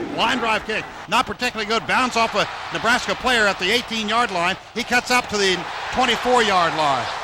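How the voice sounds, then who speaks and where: Over noticeable background noise, a man uses a raised, projected voice at a high pitch. He speaks at a fairly quick pace with ordinary pitch variation. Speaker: radio sports play-by-play announcer. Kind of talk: live radio football play-by-play. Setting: broadcast booth radio, recorded from radio. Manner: fast, energetic.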